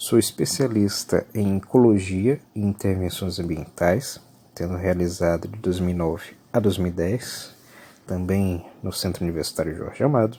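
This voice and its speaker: A man speaks with a very deep, low pitch and a dark, mellow tone. His pitch variation is ordinary and his pace moderate. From Brazil, Salvador (Bahia). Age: 30s. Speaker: university lecturer. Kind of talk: lecture.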